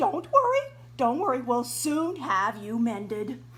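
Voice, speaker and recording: A rumbling, put-on character voice speaks at a fairly slow pace over clear background noise. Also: woman. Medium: read story. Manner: flustered, grumbling.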